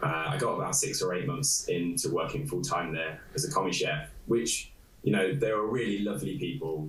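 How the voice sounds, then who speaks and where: A man with an East Midlands accent speaks at a medium pitch and a moderate pace, his pitch swinging very widely. There is audible room echo and noticeable background noise. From England, Nottingham. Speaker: illustrator. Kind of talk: interview. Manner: halting.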